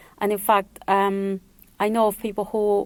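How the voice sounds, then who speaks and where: A woman speaks at a medium pitch with a Spanish accent. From El Salvador, moved to New York at 11. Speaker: Spanish tutor. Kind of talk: radio interview.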